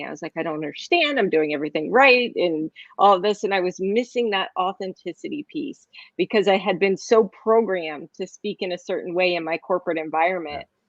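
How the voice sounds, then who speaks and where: Animated and quick-paced, a woman's voice swings very widely in pitch and varies greatly in loudness. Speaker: talk show host and public speaking coach. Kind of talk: casual chat. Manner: fast.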